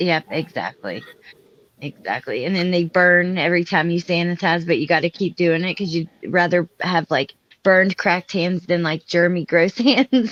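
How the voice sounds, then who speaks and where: A woman with an ordinary speaking voice talks at a moderate pace and fairly low pitch with fairly even intonation, in a dry, close sound with no echo. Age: 30s. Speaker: live stream panel host. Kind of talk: casual chat. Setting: live stream.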